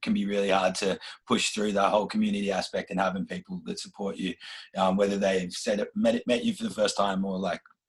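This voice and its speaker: In an Australian accent, a man talks very fast. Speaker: rapper. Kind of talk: interview.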